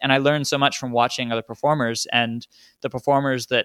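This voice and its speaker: The voice has a bright, sharp tone and fairly even intonation, captured dry and close with no echo on a very clean recording with a silent background. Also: man. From Australia, Townsville then New Orleans. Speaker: magician. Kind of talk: interview.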